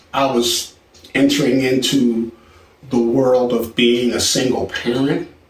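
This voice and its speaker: Amid noticeable background noise and audible room echo, a man talks at a very slow pace and medium pitch. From Philadelphia, US. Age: 60s. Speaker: songwriter and film composer. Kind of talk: personal life story. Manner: relaxed, with many filler words.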